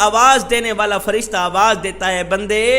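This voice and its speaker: With music playing in the background, a man speaks in a raised, projected voice. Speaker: Islamic preacher. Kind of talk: Islamic sermon (bayan).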